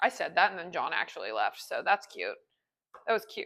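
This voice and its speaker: A woman speaks loudly at a fairly high pitch in a bright, sharp tone. Her intonation is lively, on a very clean recording with a silent background. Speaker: home baking video creator. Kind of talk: casual cooking tutorial. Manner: animated.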